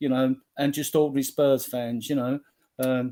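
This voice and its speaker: An ordinary speaking voice from a man, fairly slow in pace, with fairly even intonation. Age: 60s. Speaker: football fan group admin. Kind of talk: casual chat.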